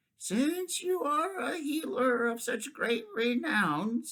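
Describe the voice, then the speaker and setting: Someone does a put-on character voice with a fairly high pitch at a very slow pace. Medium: read story. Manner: deliberate, shrewd.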